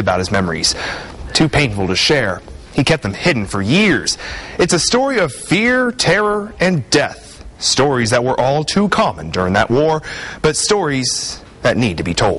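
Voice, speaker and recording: Noticeable background noise sits behind a man speaking at a moderate pace. His fairly high pitch rises and falls in very wide swings. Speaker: TV news reporter. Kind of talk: TV news report narration.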